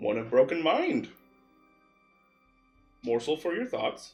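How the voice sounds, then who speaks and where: Faint music plays in the background as a man uses a put-on character voice at a fairly high pitch. He speaks at a fairly slow pace. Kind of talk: flat, unexpressive. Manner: plain, flat.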